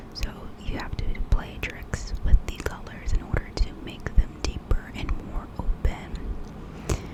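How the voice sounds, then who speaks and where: Whispering at a very slow pace in a gentle tone, a woman is heard over noticeable background noise. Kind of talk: ASMR makeup tutorial talking to camera. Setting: close microphone, home recording. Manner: whispered, gentle.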